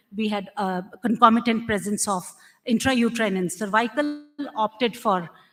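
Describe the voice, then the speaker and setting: Somewhat breathy, a woman talks at a moderate pace in a fairly high pitch. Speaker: doctor giving conference talk. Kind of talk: medical lecture.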